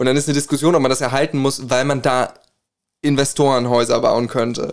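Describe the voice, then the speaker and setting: His speech comes at a very fast pace, with vocal fry. The man's pitch is medium and his intonation fairly even. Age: 20s. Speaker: co-host, music student and singer. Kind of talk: casual chat.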